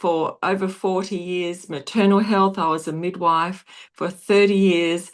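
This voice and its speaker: Against a quiet background, a woman with an Australian accent speaks at a fairly slow pace with fairly even intonation. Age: 60s. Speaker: nurse and wellness product seller. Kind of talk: video call presentation.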